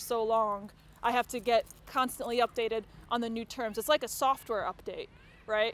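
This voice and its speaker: Her pitch high, a woman with an American accent talks at a fairly quick pace. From United States. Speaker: comedy MC. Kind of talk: stand-up. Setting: outdoor stage with audience.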